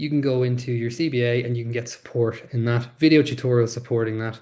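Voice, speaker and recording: This man has an Irish accent and a dark, mellow tone at medium pitch, somewhat breathy. He talks at a fairly quick pace against a quiet background. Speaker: webinar presenter. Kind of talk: webinar tutorial. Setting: online webinar. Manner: fast; animated.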